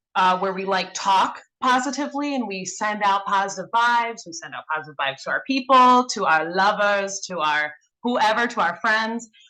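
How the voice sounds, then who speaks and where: A woman speaks at a moderate pace with a Wisconsin accent, her pitch medium. Her tone is bright and sharp, with ordinary pitch variation. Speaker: mentorship program participant. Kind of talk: casual group discussion. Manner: halting, many fillers.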